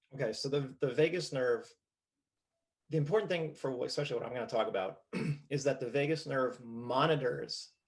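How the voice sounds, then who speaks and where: A man in a New Jersey accent, fairly high in pitch, with ordinary pitch variation and a moderate pace. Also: long, frequent pauses. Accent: New Jersey American. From US, New Jersey. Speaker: postural restoration trainer. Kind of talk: casual interview. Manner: halting, repeats words.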